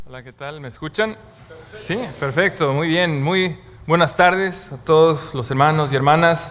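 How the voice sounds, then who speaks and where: A man's fairly high pitch with ordinary pitch variation, at a fairly slow pace, with big swings in loudness and noticeable background noise. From Bolivia. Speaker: guest preacher. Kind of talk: sermon. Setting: church.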